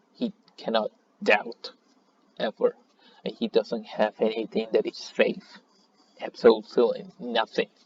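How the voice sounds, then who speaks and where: A man with a non-native accent at a fairly slow pace, in a dry, close sound with no echo. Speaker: fighting game player. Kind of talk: casual commentary, gaming tier list rant.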